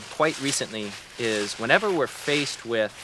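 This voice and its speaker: A man speaks with lively intonation. Background noise is noticeable. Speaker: regenerative farmer and land manager. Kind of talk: interview. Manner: fast.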